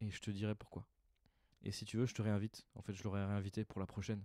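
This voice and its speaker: Very fast and deadpan, a man talks in a dark, mellow tone at a fairly low pitch, with a quiet background and dry sound with no echo. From France. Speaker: stand-up comedian. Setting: recording alone at home in the evening. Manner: casual, hesitant, improvised, filler-heavy, deadpan and self-deprecating. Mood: reflective, slightly rueful. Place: home room. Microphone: handheld.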